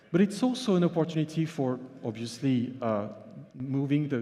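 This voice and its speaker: Pitched at a medium level, a man speaks at a moderate pace with ordinary pitch variation. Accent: French. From France. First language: French. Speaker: journalist and author. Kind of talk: conference keynote. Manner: halting, with fillers.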